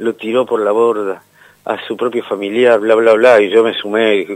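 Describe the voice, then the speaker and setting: The speech has a Rioplatense accent and a moderate pace. Its intonation is monotone and flat. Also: man. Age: 60s. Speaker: radio DJ. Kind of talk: interview.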